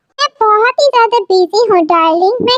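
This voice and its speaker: A woman performs a put-on character voice with ordinary pitch variation. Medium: fan dub. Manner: firm, scolding.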